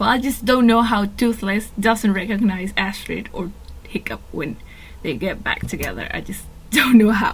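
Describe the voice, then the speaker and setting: With a Spanish accent, a woman talks at a fairly slow pace, medium in pitch with fairly even intonation, over noticeable background noise. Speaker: fan video commentator. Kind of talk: casual monologue.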